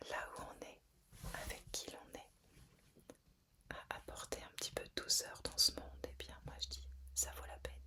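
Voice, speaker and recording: A woman whispering at a fairly slow pace, with long, frequent pauses and big swings in loudness. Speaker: ASMR / guided relaxation content creator. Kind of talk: whispered ASMR relaxation talk. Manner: whispered, soft-spoken, slow, calming.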